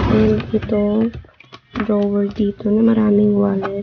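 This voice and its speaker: A soft-spoken woman with a medium pitch. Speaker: vlogger. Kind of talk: casual vlog narration. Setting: at home. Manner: soft-spoken, quiet.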